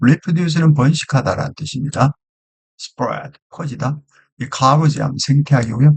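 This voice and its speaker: Somewhat breathy, a man speaks at a very slow pace with a fairly high pitch. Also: dry, close sound with no echo. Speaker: English teacher. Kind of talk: lecture.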